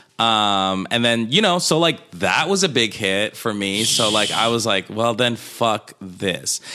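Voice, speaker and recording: Over noticeable background noise, a man with a medium pitch and lively intonation speaks at a fairly slow pace with hardly any pauses and very even loudness. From Colombia, moved to Queens NY at twelve. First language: Spanish. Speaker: comedian and dancer. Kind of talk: casual chat. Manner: animated.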